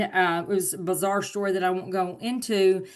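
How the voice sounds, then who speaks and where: Female speech at a moderate pace, the background quiet. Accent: Southern US. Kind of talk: webinar presentation.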